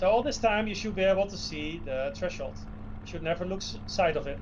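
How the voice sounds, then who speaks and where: A man with a Dutch accent talks very fast with big swings in loudness, amid noticeable background noise and audible room echo. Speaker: flight sim developer and streamer. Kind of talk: tutorial. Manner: instructive, hesitant with fillers.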